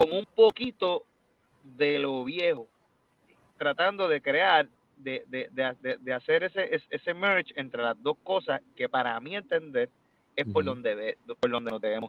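This man has a fairly high pitch and talks at a fairly slow pace. His pitch swings very widely and his loudness rises and falls a lot. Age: 30s. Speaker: salsa singer. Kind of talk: interview.

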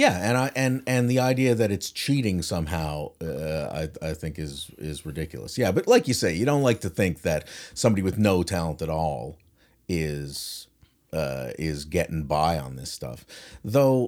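Very deep and low, a man's voice moves at a moderate pace with very wide pitch swings. The recording is very clean with a silent background. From St. John's, Newfoundland. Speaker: musician and songwriter. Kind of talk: casual chat. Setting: studio with guitars and gear.

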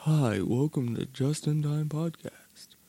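A put-on character voice from a man, fairly high in pitch and at a fairly slow pace. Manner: exaggerated, smooth.

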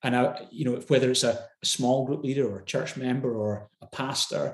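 A man with a Glasgow accent talks at a fairly quick pace in a somewhat breathy voice. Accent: Scottish (Glasgow). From Scotland, Glasgow. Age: 40s. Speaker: pastor. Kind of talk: interview conversation.

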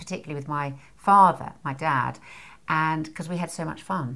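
The woman's voice has a very deep, low pitch, a bright, sharp tone and ordinary pitch variation. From Scotland. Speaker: parenting author and course leader. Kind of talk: casual interview chat.

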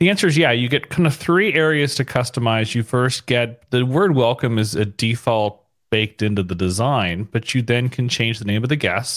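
A man with an American accent has an unremarkable speaking voice at a medium pitch, with lively intonation and a moderate pace. The recording is very clean, with a silent background and a dry, close sound with no echo. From California (San Diego, San Francisco). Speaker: app founder, tech entrepreneur. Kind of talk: podcast interview.

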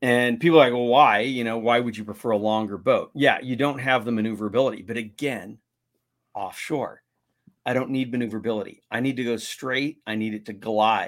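An ordinary speaking voice, a man with an American accent talks at a medium pitch and a fairly quick pace with fairly even intonation. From US West Coast, San Diego. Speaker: kayak fishing show host and guide. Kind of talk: casual interview.

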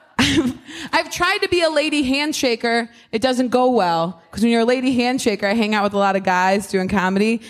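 Over noticeable background noise, a woman with an American accent speaks fairly quickly in a fairly high voice with lively intonation. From US Midwest, Ohio. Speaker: stand-up comedian. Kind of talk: casual chat.

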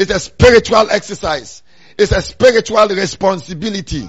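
In an animated tone, a man speaks at a high pitch with ordinary pitch variation. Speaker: preacher. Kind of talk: sermon. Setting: church. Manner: animated, rousing call-and-response; emphatic, repetitive preaching cadence.

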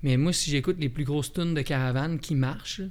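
The man speaks at a very fast pace. His pitch sits fairly high. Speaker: musician. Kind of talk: casual interview.

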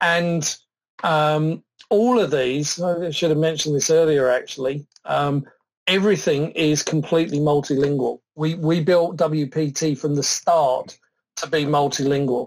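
The speaker uses a British accent, a fairly slow pace, and fairly even intonation. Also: man, fairly high pitch for a man. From southern England. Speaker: software product expert. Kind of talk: technical demo and interview.

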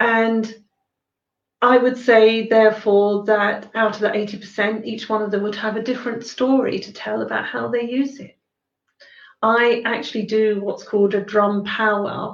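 A woman speaks in a southern English accent at a fairly high pitch. Her intonation is monotone and flat. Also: fairly slow pace, big swings in loudness. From Sussex, southern England. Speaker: shamanic healer and drum maker. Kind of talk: talk and Q&A on shamanism. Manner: hesitant, many fillers.

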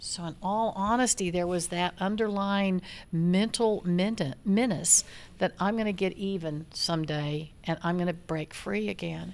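In an ordinary speaking voice, a woman talks at medium pitch and a fairly slow pace with ordinary pitch variation. The recording is very clean, with a silent background. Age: 60s. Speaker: rancher. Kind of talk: casual chat.

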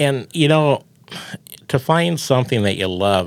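A man talks at a moderate pace with a Midwestern American accent. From Iowa, US Midwest. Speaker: farm radio broadcaster. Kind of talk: casual interview chat.

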